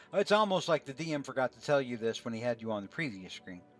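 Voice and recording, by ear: The intonation is lively. Someone is reading aloud in a natural voice.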